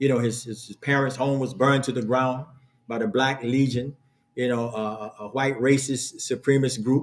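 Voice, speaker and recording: The speaker is a man with a medium pitch. He talks at a moderate pace in a flat monotone. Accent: American. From born North Carolina, grew up New York and New Jersey. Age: 60s. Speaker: imam. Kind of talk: lecture. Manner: halting, many fillers.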